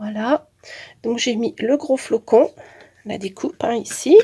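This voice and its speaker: This woman has a high pitch and a dark, mellow tone. She speaks fairly slowly with ordinary pitch variation. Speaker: crafting youtuber. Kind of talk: tutorial. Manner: hesitant with many fillers.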